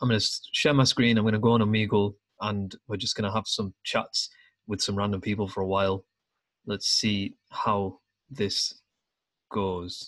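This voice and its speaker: A man with a British accent talks at a moderate pace in a fairly low pitch. He leaves long, frequent pauses, and the background is quiet. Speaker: podcast host. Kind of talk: casual chat. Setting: video call. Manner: animated.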